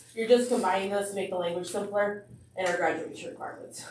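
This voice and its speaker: Medium-pitched female voice, audible echo from the room around it. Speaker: school administrator. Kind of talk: board meeting presentation. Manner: fast.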